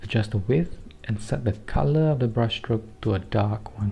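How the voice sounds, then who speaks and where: A man with a Singaporean accent talks at a medium pitch with ordinary pitch variation. Music plays in the background. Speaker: digital artist. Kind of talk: software tutorial narration.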